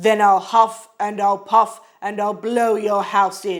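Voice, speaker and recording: Shouting in a put-on character voice, a man speaks at a fairly slow pace with a high pitch and monotone, flat intonation. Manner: shouting, threatening.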